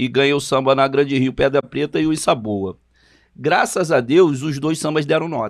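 Against a quiet background, a man with a fairly high pitch talks at a moderate pace using ordinary pitch variation. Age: 50s. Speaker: samba composer, podcast co-host; podcast co-host. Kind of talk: casual chat. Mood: relaxed, convivial. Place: studio. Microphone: studio mic.

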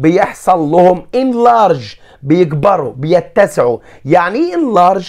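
Speaking very slowly with an Egyptian accent, a man uses lively intonation at a high pitch. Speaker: science teacher. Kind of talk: lecture.

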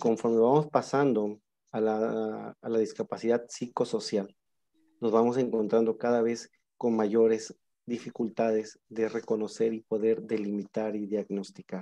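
A man speaks at a fairly slow pace with a fairly low pitch and little pitch movement. His tone is dark and mellow.

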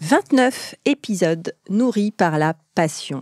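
On a very clean recording with a silent background and a dry, close sound with no echo, a woman speaks at medium pitch with lively intonation. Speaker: podcast host and private chef. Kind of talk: scripted narration; casual chat. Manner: energetic.

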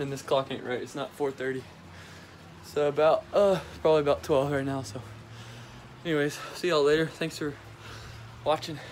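Light background noise sits behind a man talking at a fairly quick pace. His intonation stays fairly even. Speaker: vlogger. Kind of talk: casual vlog chat.

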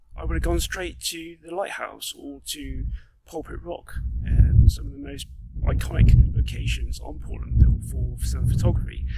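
Loud background noise behind a man, his voice dry with no echo. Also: moderate pace. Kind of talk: casual vlog chat. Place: open country. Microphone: phone near.

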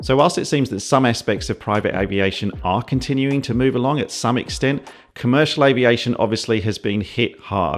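A man speaking at a fairly quick pace, hardly any pauses, ordinary pitch variation. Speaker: pilot video creator. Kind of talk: commentary. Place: home room.

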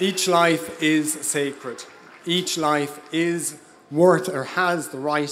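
Slow to a great degree, a man speaks in an Irish accent. His intonation stays fairly even, with light background noise. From Ireland (Dublin area). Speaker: local councillor. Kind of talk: impassioned pro-life rally speech from notes. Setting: outdoor rally stage before a crowd. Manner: earnest, slightly halting with 'um' and 'uh' fillers; rousing call-to-action, emphatic repetition. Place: stage. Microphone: handheld.

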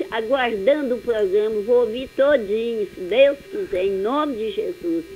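A woman talks at a fairly slow pace, with light background noise behind her. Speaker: radio listener calling in. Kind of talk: phone call chat. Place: home room. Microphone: phone line.

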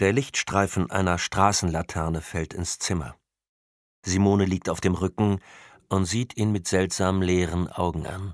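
A very deep, low male voice at a fairly slow pace with fairly even intonation, in a very clean recording with a silent background. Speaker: audiobook narrator. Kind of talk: audiobook narration, scripted crime thriller read aloud with character voices. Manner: measured, atmospheric, suspenseful.

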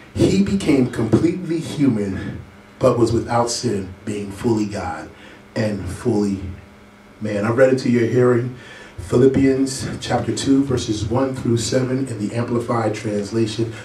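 A man at a fairly slow pace with ordinary pitch variation, amid audible room echo and light background noise. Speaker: preacher. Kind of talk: sermon scripture reading. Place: church. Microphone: camera far.

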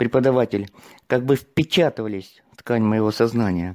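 A man talks at a moderate pace in a medium pitch, with a plain, everyday voice. The sound is dry and close, with no echo. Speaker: seminar participant. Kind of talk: testimony. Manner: formal.

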